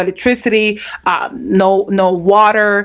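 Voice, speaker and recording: This woman's voice sits at a medium pitch. The intonation is fairly even throughout. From New York City, the Bronx; Dominican parents. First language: Spanish. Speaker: podcast host, interviewer. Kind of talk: interview conversation. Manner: frequent fillers and self-corrections.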